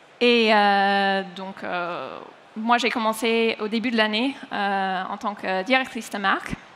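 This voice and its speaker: Very slow speech from a woman with a fairly high pitch, in an American accent. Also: fairly even intonation. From United States. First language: English (speaking French). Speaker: head of brand. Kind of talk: conference panel talk. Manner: hesitant with many fillers.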